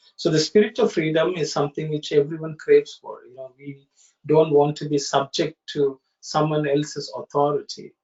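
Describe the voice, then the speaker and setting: Fairly high in pitch, a man speaks at a moderate pace with fairly even intonation and big swings in loudness. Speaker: study circle facilitator. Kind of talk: online study discussion. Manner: halting; soft-spoken.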